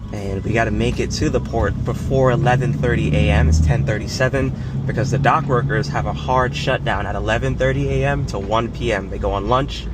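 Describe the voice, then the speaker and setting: A man's very deep, low voice with an American accent, very wide pitch swings and hardly any pauses, plus audible room echo and noticeable background noise. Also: fairly quick pace. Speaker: car vlogger. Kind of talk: vlog tutorial. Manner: fast; casual.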